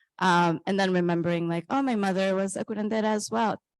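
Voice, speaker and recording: Speaking very fast at a medium pitch with ordinary variation, a woman with a Spanish accent is recorded with a dry, close sound, no echo, and a quiet background. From Colombia. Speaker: author. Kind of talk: reading aloud; onstage interview. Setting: stage with audience.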